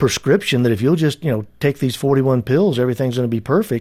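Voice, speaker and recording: The tone is dark and mellow and somewhat breathy, captured in a very clean recording with a silent background. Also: man. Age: 60s. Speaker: author and business advisor. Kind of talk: interview.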